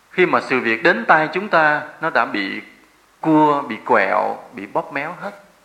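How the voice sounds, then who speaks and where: There is audible room echo around a man whose voice is fairly high in pitch. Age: 40s. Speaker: Buddhist monk giving a dharma talk. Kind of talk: sermon.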